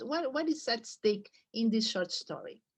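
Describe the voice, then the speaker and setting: Against a quiet background, a woman with a Brazilian accent speaks at a fairly slow pace in a high pitch with lively intonation. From Brazil, São Paulo. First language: Portuguese. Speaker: literature professor. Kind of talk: lecture. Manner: halting, with fillers and restarts.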